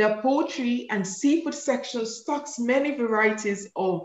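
Ordinary pitch variation is heard along with audible room echo. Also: woman. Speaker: event moderator host. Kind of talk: event host announcements. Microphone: video call.

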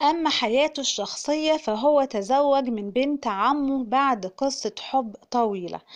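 Speaking with an Egyptian accent at a very slow pace, a woman keeps a high pitch and hardly any pauses. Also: ordinary pitch variation. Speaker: YouTube narrator. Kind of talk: scripted narration.

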